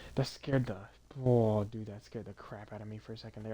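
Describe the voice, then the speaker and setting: The voice has a dark, mellow tone and races along at a very fast pace. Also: man. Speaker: gaming streamer. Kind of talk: let's play commentary. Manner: quiet; casual, halting with fillers.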